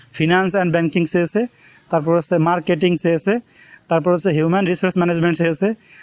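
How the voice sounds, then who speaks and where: This man's voice is high-pitched. His pitch variation is ordinary. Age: 20s. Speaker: YouTuber, job seeker. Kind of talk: casual vlog monologue.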